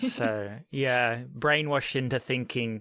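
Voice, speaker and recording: A man with an Australian accent speaks at a medium pitch in a bright, sharp tone with ordinary pitch variation. The recording is very clean, dry and close, with a silent background and no echo. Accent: mild Australian. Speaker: podcast host. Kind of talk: podcast interview.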